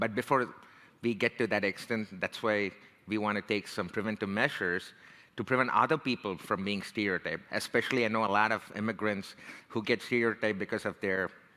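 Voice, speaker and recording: Fairly quick and fairly even in intonation, a man with an Indian American accent speaks at a fairly low pitch in a bright, sharp tone, on a very clean recording with a silent background. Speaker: tech career strategist and leadership coach. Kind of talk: talk. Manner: casual, conversational.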